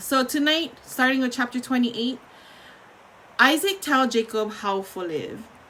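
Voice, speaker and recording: A woman talks at a moderate pace with a high pitch and lively intonation, and there is noticeable background noise. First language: Ilocano. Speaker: bible reader and streamer. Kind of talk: reading aloud; casual talk. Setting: live stream. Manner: halting.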